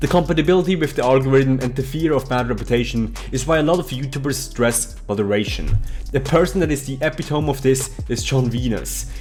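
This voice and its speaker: Over music in the background, a man talks at a medium pitch and a fairly quick pace with ordinary pitch variation. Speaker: vegan fitness coach. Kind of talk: commentary video to camera. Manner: casual, argumentative.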